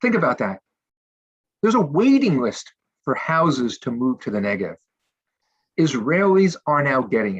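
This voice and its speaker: In a dry, close recording with no echo, a man with fairly high pitch moves at a moderate pace, with very wide pitch swings and long, frequent pauses. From United States. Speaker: nonprofit representative. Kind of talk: panel discussion.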